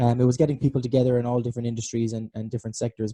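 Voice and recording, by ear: A man's dark, mellow tone at a medium pitch, with little pitch movement and a dry, close sound with no echo.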